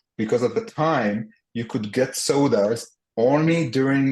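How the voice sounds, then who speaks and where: Moderate-paced speech with an Israeli accent. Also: man. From Israel and the US (split upbringing). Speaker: entrepreneur. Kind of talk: podcast interview. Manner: halting, many fillers and repetitions.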